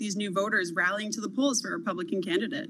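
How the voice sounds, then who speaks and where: Very fast female speech, fairly high in pitch with ordinary pitch variation, over noticeable background noise. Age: 20s. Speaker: social media commentator. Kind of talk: interview.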